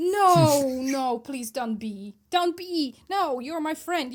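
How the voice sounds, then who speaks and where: Speaking with a non-native accent, a woman uses a high pitch and lively intonation on a very clean recording with a silent background. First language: not English. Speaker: book podcast co-host. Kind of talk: casual chat. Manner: animated.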